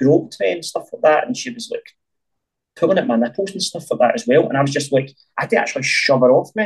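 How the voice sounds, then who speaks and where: This is a man's voice. He speaks with a Glaswegian accent. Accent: Glaswegian Scottish. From Scotland, North Glasgow. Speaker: filmmaker. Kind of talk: interview.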